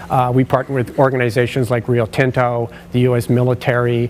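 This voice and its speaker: A man is speaking. Noticeable background noise can be heard behind him. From British Columbia, Canada. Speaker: occupational sleep specialist. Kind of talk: conference presentation. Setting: stage with audience. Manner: loud.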